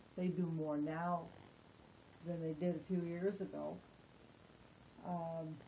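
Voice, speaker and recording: Her voice dark, mellow, and somewhat breathy, a woman with a fairly low pitch speaks at a very slow pace with fairly even intonation and long, frequent pauses, amid audible room echo. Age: 70s. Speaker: interviewee with Parkinson's disease. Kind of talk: interview. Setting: at her home.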